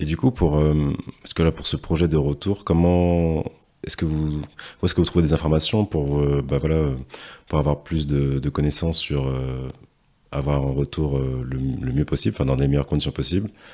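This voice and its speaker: A man's very deep, low voice with a dark, mellow tone, fairly even intonation and a moderate pace. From Martinique. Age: young. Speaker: podcast host. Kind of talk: interview. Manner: hesitant, many fillers.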